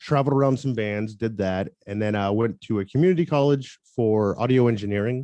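The speaker, with an unremarkable speaking voice and an American accent, talks at a fairly quick pace with hardly any pauses and ordinary pitch variation. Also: man, medium pitch for a man. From US South, Tampa, Florida. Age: 30s. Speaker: photographer and musician. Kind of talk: interview.

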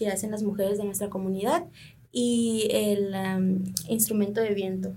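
A woman talks at a fairly high pitch and a moderate pace. Her voice is somewhat breathy. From Sonora, Mexico (Triqui family from Oaxaca). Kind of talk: radio interview.

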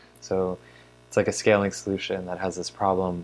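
A man talks in a very deep, low pitch. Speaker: podcast co-host. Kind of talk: casual chat.

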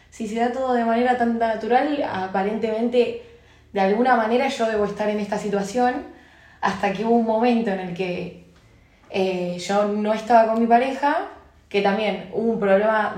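A woman speaks at a moderate pace with a fairly high pitch. Room echo is audible. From Argentina. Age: 20s. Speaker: advertising post-production worker. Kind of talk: casual chat.

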